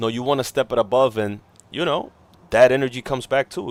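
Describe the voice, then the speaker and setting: In a very clean recording with a silent background, a man talks in an animated tone at a medium pitch. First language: not English. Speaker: gaming livestreamer. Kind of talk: casual live stream chat. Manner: casual, animated.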